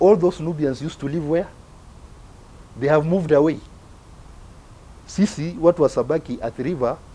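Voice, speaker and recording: Long, frequent pauses interrupt a man's fairly quick pace. His tone is dark and mellow, his pitch fairly high, with ordinary pitch variation. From Kenya, Nubian community of Nairobi. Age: 60s. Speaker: author and community elder. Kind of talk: talk to young community members. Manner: animated, rhetorical questions.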